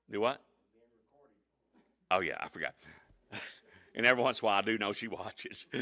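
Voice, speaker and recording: A man with an American accent speaks loudly at a very fast pace, his pitch medium and his tone bright, sharp and animated. Long pauses come often between his words. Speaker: pastor. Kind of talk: sermon.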